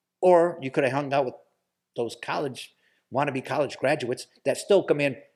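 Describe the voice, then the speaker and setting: A man's fairly high-pitched voice with an American accent, fairly even intonation and a moderate pace, on a very clean recording with a silent background. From US Midwest, Toledo, Ohio. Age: 50s. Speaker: podcast guest. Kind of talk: casual chat. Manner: halting, repeats words.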